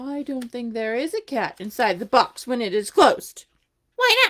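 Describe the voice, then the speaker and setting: A put-on character voice at a moderate pace. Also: female-sounding voice, high pitch for a woman. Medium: read story. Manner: inquisitive, earnest.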